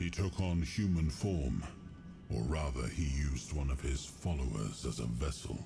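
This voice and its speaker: Through clear background noise, a man does a put-on character voice at a moderate pace. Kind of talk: game dialogue voice acting. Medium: game stream. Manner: solemn, measured.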